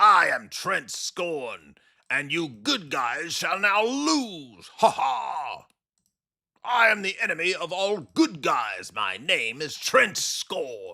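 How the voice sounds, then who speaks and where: A man speaks in a put-on character voice, high in pitch. His pace is very slow. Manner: mocking, gleeful, boastful.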